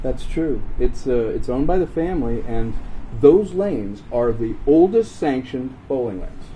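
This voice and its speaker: Using lively intonation, a man with an American accent speaks at a moderate pace and medium pitch in a plain, everyday voice. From Virginia. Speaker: actor. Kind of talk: travel host demo. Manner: upbeat, playful.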